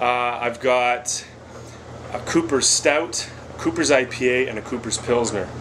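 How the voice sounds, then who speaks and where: Noticeable background noise behind a man speaking at a medium pitch. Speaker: homebrewing video creator. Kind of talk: casual tutorial vlog. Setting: basement brew area. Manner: fast; hesitant with many fillers.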